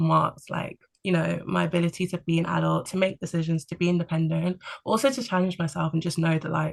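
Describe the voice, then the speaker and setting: Over a quiet background, a woman with a London accent speaks at a fairly quick pace. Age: 20s. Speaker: podcast guest on career break. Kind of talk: casual chat. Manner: calm; hesitant fillers.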